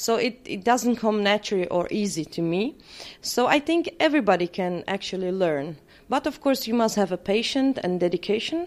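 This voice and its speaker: A woman speaks with a Czech accent at a moderate pace. Her fairly high voice swings very widely in pitch. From Czech Republic. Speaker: permanent makeup trainer. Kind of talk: interview. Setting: conference.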